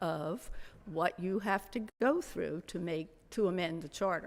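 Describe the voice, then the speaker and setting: Pitched at a medium level with ordinary pitch variation, a woman speaks on a very clean recording with a silent background. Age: 80s+. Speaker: resident speaking at public comment. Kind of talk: public comment at town council meeting. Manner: halting.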